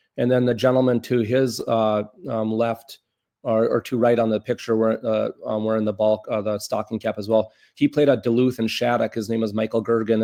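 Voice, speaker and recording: In an American accent, the speaker delivers a flat monotone at a fairly quick pace, with a dry, close sound and no echo. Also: man. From northern Minnesota, US. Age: 50s. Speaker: former athlete, hockey school director. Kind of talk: interview.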